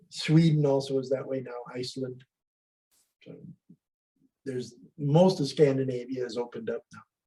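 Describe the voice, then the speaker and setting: With an American accent and a dark, mellow, somewhat breathy tone, the speaker moves at a moderate pace with ordinary pitch variation, big swings in loudness, and long, frequent pauses. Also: man, medium pitch for a man. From US, California-Mexico border. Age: 70s. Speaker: astrologer. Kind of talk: casual interview.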